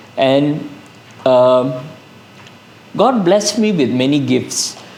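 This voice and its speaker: Over noticeable background noise and audible room echo, a man speaks at a very slow pace. His fairly high voice carries lively intonation. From Malaysia, Kedah. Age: 60s. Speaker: psychiatrist. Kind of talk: testimony.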